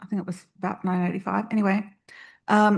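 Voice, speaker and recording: A woman speaks at a medium pitch, somewhat breathy, in a flat monotone. The background is quiet. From remote northwest New South Wales, Australia. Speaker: computer science academic, panelist. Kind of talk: panel discussion.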